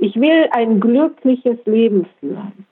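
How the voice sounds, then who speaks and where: A woman speaks very slowly at a fairly high pitch. Her pitch swings very widely. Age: 60s. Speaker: retired educator with multiple sclerosis. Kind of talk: casual interview.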